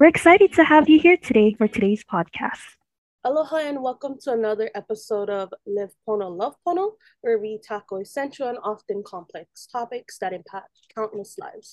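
Speaking at a fairly quick pace in a normal speaking voice, a woman with a fairly high pitch shows big swings in loudness in a dry, close recording with no echo. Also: lively intonation. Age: 20s. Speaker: student podcast host. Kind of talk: interview; scripted intro.

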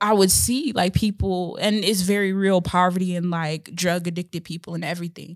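In a plain, everyday voice with an American accent, a woman at medium pitch talks at a fairly quick pace with hardly any pauses and fairly even intonation, on a very clean recording with a silent background. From Chicago, Illinois. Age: 20s. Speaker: podcast co-host, hair business owner. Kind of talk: casual chat. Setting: podcast recording.

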